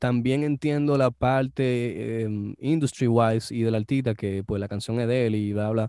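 A man speaks at a fairly slow pace with hardly any pauses, his medium-pitched voice dark and mellow in tone, his intonation fairly even, all in a dry, close sound with no echo on a very clean recording with a silent background. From Dominican Republic. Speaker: music producer. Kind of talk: casual interview.

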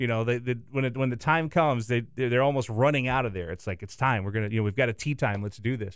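A man with an American accent talks at a very fast pace with hardly any pauses, at medium pitch with ordinary pitch variation. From US South. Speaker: TV sports director. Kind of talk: casual chat. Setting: radio studio.

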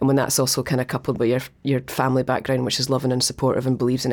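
Speaking very fast, a woman uses a very deep, low pitch. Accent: Scottish. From Dundee, Scotland. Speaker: museum director. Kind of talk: interview conversation.

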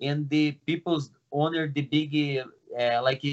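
A man with a Portuguese accent, fairly high-pitched, at a fairly slow pace. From Brazil. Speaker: martial arts coach. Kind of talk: casual interview. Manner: halting.

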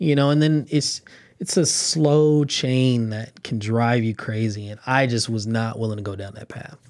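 Using an American accent, a man speaks at a moderate pace and medium pitch with ordinary pitch variation and big swings in loudness. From Los Angeles, California. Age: 20s. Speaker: construction manager, architecture alumnus. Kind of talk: interview. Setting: studio.

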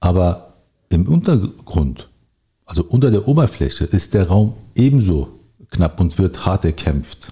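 A man speaks in a very deep, low, somewhat breathy voice with a dark, mellow tone and lively intonation. His pace is fairly slow, his loudness very even, and his pauses long and frequent. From Berlin, Germany. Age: 40s. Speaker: local politician. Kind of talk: interview.

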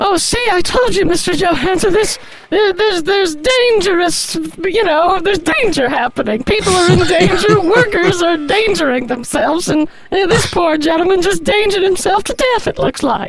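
At a moderate pace, the speaker uses a put-on character voice at an extremely high pitch. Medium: comedy sketch. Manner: hedging, rambling.

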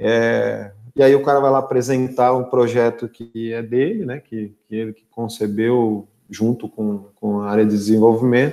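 A man's medium-pitched, dark, mellow voice at a fairly slow pace, with big swings in loudness. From interior of São Paulo state, Brazil (São Carlos). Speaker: sales director. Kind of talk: live-stream interview.

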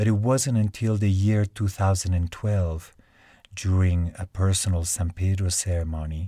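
A man with a Spanish accent speaks at a very deep, low pitch and a fairly slow pace, somewhat breathy, with a dark, mellow tone. His intonation is fairly even, and the recording is very clean with a silent background. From Switzerland (Lugano), Spanish parents. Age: 50s. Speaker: plant medicine healer. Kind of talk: scripted narration.

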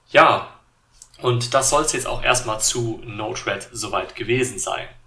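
A man at medium pitch talks at a fairly slow pace. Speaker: tech YouTuber and podcaster. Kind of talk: solo tech podcast monologue. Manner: many filler sounds (äh, ähm).

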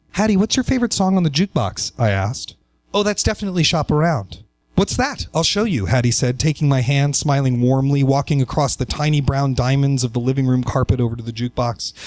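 At a very fast pace, a man with an American accent speaks at a fairly high pitch. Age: 30s. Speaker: writer. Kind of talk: personal essay read aloud.

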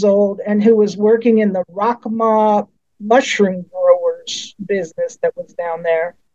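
Speaking with an American accent at a fairly slow pace, a woman has a fairly high pitch, a dark, mellow tone and ordinary pitch variation. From Colorado. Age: 60s. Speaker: professor. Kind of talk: casual interview.

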